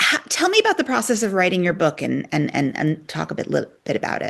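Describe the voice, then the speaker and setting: A woman speaks at a medium pitch with vocal fry. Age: 50s. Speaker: podcast host. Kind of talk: interview.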